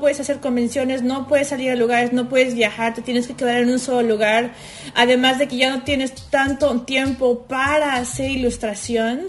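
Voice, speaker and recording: Over noticeable background noise, a woman with a Mexican accent speaks at a high pitch and a moderate pace. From Mexico (Xalapa, Veracruz). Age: 30s. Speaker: illustrator. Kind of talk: casual chat.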